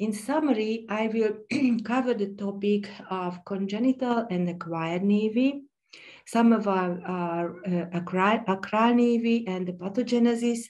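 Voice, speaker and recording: A woman's fairly high, fairly slow voice in a Hungarian accent, with ordinary pitch variation and audible room echo. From Hungary. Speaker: pediatric dermatologist. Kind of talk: conference lecture. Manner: halting, with many fillers.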